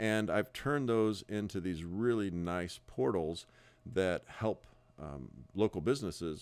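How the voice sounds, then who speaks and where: Against a silent background on a very clean recording, a man speaks with lively intonation in a very deep, low voice. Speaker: real estate broker. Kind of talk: sales pitch. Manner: halting, many fillers and repeats.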